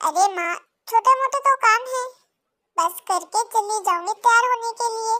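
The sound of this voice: A woman's cartoonish character voice, extremely high in pitch, at a moderate pace, dry and close with no echo.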